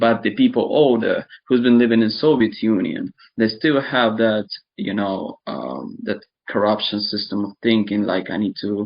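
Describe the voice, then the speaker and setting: In an Eastern European accent, a man speaks at medium pitch and a moderate pace, with ordinary pitch variation. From Ukraine (born in Donetsk region). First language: Russian. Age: 20s. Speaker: interviewee describing war experience. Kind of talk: casual chat. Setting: online video chat.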